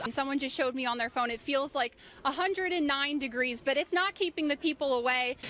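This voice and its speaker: A woman's raised, projected voice comes through high in pitch with a bright, sharp tone. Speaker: TV news reporter. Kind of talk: TV news live reporter stand-up.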